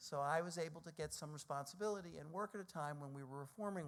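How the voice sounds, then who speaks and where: Speaking very fast, this man has an American accent. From US Northeast, New York City (Brooklyn). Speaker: think tank president. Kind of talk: speech.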